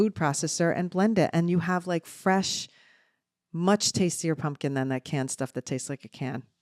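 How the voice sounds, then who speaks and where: Delivered at a moderate pace, this voice carries a slight New Jersey accent. The tone is animated, with ordinary pitch variation. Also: woman. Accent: New Jersey, mild. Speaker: podcast co-host, mother. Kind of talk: casual chat.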